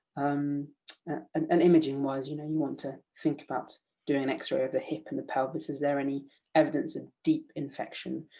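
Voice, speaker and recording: Speaking with a British accent, a man has a dark, mellow tone and a fairly high pitch. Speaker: emergency medicine doctor teaching. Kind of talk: online lecture quiz. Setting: video call. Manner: fast; halting with many fillers.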